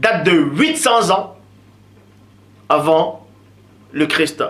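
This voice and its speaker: Over noticeable background noise, a man with a high pitch uses a raised, projected voice at a very slow pace. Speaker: religious commentator. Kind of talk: lecture.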